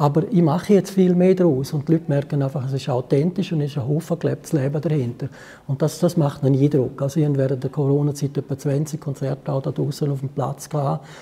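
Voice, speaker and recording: The voice has a dark, mellow tone and is somewhat breathy. It moves at a very fast pace with fairly even intonation. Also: man, fairly high pitch for a man. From Switzerland, Graubünden (Chur). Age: 70s. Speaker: musician. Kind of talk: interview. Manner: hesitant.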